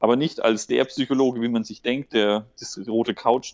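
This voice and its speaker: A man speaks in a plain, everyday voice at a moderate pace and medium pitch. The sound is dry and close with no echo. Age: 30s. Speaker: regional development worker with psychology background. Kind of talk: casual interview.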